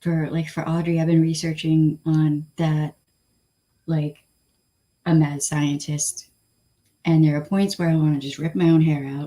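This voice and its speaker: Using a Southern Californian accent, a woman speaks at a fairly slow pace with long, frequent pauses, in a very deep, low pitch, a dark, mellow tone and monotone, flat intonation. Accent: Valley Girl. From Flint, Michigan. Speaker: livestream host. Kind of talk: casual chat.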